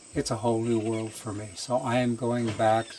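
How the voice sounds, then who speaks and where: Amid noticeable background noise, a man talks at a medium pitch with flat, monotone intonation. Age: 70s. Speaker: retreat participant. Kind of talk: testimony. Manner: hesitant with fillers.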